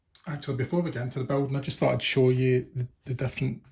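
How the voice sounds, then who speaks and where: A man's somewhat breathy voice at a medium pitch. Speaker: tabletop gaming youtuber. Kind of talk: unboxing video. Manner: fast.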